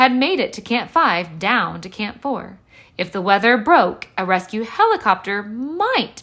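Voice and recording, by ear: A natural voice reading aloud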